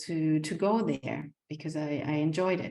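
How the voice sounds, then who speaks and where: In a German accent, a woman speaks at a very deep, low pitch with a dark, mellow tone. Her pace is moderate and her intonation fairly even. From Germany. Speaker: community centre founder, home-educating mother. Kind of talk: casual vlog talk. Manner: halting, many fillers and repetitions.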